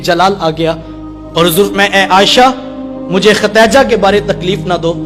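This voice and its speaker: Over music in the background, a man with a high voice talks in a passionate tone with ordinary pitch variation. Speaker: Islamic religious preacher. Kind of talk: religious sermon. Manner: emotional, passionate, pleading.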